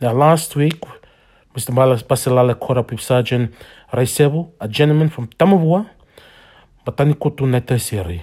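Medium-pitched and somewhat breathy, a man speaks at a fairly quick pace in a dark, mellow tone with lively intonation and long, frequent pauses. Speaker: podcast host. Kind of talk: reading aloud. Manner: halting.

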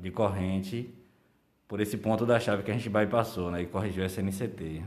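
Audible room echo surrounds a man's voice. He talks at a moderate pace with fairly even intonation. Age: 30s. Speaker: electrical lineman. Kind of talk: casual interview.

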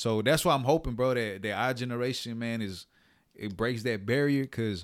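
On a very clean recording with a silent background, a man speaks at medium pitch. His pace is very fast and his intonation fairly even. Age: 30s. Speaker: podcast host. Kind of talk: casual chat. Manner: halting, repeats words.

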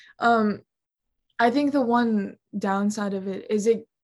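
A woman speaks with fairly high pitch. Her voice is somewhat breathy. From US Midwest, Ohio. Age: young. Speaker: singer-songwriter and college student. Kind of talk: casual chat.

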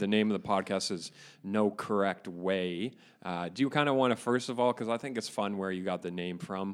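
A man's fairly low, a plain, everyday voice with a Canadian accent, ordinary pitch variation and a fairly quick pace, on a very clean recording with a silent background. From Ontario, Canada (Caledon area). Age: 20s. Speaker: podcast co-host. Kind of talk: casual chat. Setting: boardroom.

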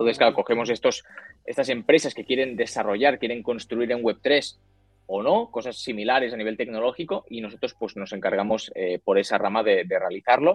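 Music plays behind the voice. A man talks over it at a fairly quick pace. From Spain, Barcelona. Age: 20s. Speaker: crypto company CEO. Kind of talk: interview.

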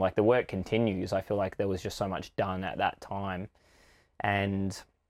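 A man with an Australian accent, fairly low in pitch, at a moderate pace, on a very clean recording with a silent background. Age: 30s. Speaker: breathwork and ice bath facilitator. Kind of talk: personal story interview.

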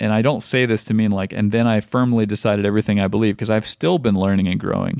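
A man talks at a very fast pace, with very even loudness and fairly even intonation. His pitch is fairly low, and the background is quiet. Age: 30s. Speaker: podcast host. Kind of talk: casual conversation.

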